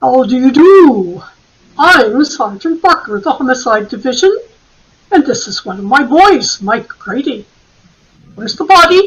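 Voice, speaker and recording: A woman puts on a high-pitched character voice with very wide pitch swings and long, frequent pauses. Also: moderate pace. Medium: stage play. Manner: deliberate, musing, with frequent hmms.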